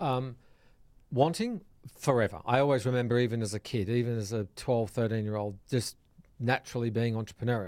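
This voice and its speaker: A man talks with an Australian accent. His pitch is medium and his pace fairly quick. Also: ordinary pitch variation. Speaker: hospitality software entrepreneur. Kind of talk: casual interview. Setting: studio.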